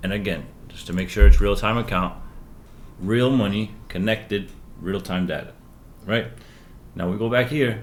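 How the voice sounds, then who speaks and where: A man with vocal fry speaks at a fairly low pitch with ordinary pitch variation, leaving long, frequent pauses. His loudness swings widely, and the room echo is audible. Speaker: stock trading coach. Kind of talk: live trading tutorial. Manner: fast; animated.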